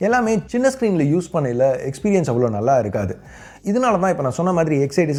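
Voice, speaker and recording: This man's fairly high pitch swings very widely, and his tone is dark and mellow. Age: 30s. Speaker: tech YouTuber. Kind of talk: tech review. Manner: conversational.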